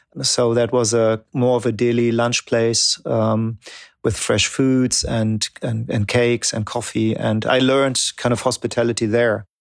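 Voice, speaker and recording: A man with a German accent speaks at a fairly slow pace, with a medium pitch, flat monotone intonation and very even loudness. The recording is very clean with a silent background, dry and close with no echo. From Germany. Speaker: coffee company founder. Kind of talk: casual interview. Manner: halting, filler-heavy.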